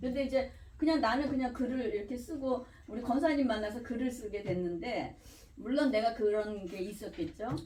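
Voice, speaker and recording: A woman speaks at a moderate pace in a high voice with lively intonation, and the room echo is audible. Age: 60s. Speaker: retired pharmacist, pastor's wife. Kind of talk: group discussion. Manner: rambling, animated.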